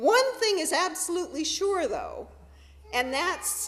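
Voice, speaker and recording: Fairly slow speech from a woman, with noticeable background noise behind it. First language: sign language. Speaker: minister. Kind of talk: sermon. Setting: church.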